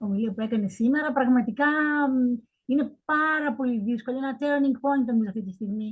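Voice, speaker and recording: A woman talks in a high pitch. Her pace is moderate and her pitch variation ordinary. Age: 70s. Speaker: professor. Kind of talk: Q&A question.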